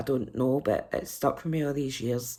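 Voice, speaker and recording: The voice has a dark, mellow tone and a Scottish accent. It moves at a fairly quick pace with ordinary pitch variation. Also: woman. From Scotland. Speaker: book reviewer. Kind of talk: casual vlog review.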